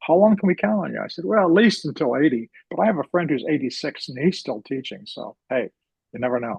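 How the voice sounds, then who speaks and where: Vocal fry runs through this voice, which moves at a fairly quick pace with very wide pitch swings. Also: man, fairly high pitch for a man. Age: 70s. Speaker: astronomy teacher. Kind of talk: casual interview. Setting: video call.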